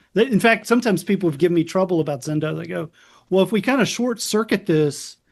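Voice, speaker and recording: This speaker talks at a very fast pace with lively intonation, in an American accent. The background is quiet. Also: man, high pitch for a man. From US South, South Carolina. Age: 50s. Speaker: psychiatrist. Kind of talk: interview.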